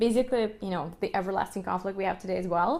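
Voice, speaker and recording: A woman is speaking. She has a Russian accent. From Ukraine, Kyiv. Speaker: violinist and music educator. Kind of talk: podcast monologue. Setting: live stream. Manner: animated.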